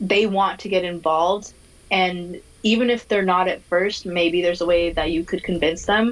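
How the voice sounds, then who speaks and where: With a plain, everyday voice and an American accent, a woman speaks at medium pitch and a moderate pace, her intonation fairly even and her loudness very even. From Minnesota, US. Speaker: diversity and inclusion specialist. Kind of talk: casual interview.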